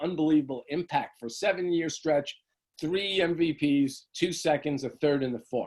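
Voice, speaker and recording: This is a man talking. His voice rises and falls in an ordinary way. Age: 60s. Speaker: author. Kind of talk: interview. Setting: video call. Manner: halting.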